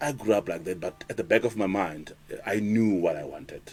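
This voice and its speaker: A man talks fairly quickly, his intonation staying fairly even. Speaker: radio DJ. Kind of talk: interview. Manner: some words not pronounced clearly.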